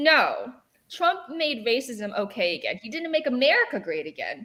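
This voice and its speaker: Raising and projecting her voice, a woman speaks in an animated tone at a moderate pace, with very wide pitch swings. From born in China, grew up partly in England then US. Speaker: political commentator. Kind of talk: casual panel chat.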